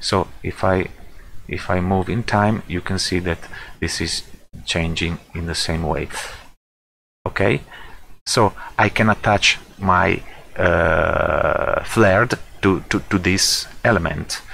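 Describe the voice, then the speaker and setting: Someone with a non-native accent speaks at a very slow pace with fairly even intonation. Long, frequent pauses break up the speech. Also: man, very deep, low pitch for a man. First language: not English. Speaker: software tutorial creator. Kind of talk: tutorial. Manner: halting, many fillers.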